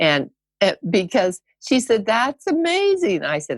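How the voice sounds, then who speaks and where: Speaking at a moderate pace with vocal fry, a woman swings her pitch very widely in a dry, close sound with no echo. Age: 80s+. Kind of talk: casual interview storytelling.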